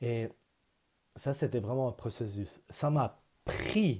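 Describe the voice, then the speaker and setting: Against a quiet background, a man with a non-native accent, medium pitch and a dark, mellow, somewhat breathy tone speaks at a very slow pace with long, frequent pauses. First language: not French (speaking French). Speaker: vlogger. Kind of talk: personal vlog; personal vlog story. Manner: halting. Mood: earnest, personal, reflective. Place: home room. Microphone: earbuds.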